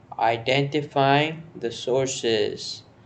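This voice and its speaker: This man talks with a fairly high pitch. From India. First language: Hindi. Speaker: news explainer vlogger. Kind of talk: informal explainer monologue. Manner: halting, with false starts.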